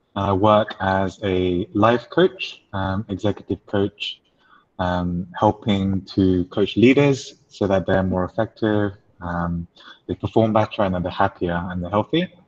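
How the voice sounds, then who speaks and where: A man speaks with an English accent. His pitch is fairly low, and his intonation is fairly even. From England. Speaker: life coach. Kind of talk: webinar talk.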